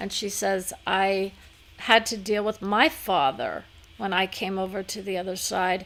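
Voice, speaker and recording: Using an unremarkable speaking voice, a woman talks at a fairly slow pace with medium pitch and ordinary pitch variation. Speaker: psychic medium channeler. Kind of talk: live channeling session.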